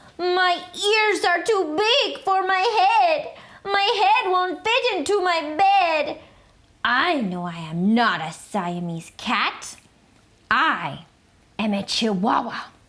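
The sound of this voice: A woman puts on a character voice with a Spanish accent, pitched extremely high. She speaks at a very slow pace.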